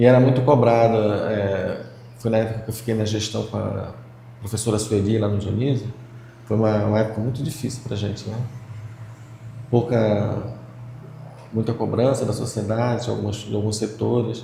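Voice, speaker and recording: Through audible room echo and noticeable background noise, a man of medium pitch speaks at a moderate pace in a monotone, flat intonation with long, frequent pauses. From Brazil, Pará (Belém). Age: 60s. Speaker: retired physical education teacher. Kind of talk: interview.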